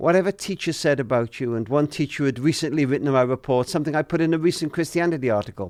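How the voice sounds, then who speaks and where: With a Welsh accent, a man talks at a very fast pace and fairly high pitch, his voice dry and close with no echo on a very clean recording with a silent background. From Wales. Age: 70s. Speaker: author and family charity leader. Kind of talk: interview.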